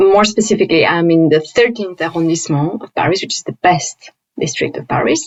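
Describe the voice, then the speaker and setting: This woman has a non-native accent. Her pitch swings very widely. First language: not English. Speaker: higher education professional and instructional designer. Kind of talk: interview conversation.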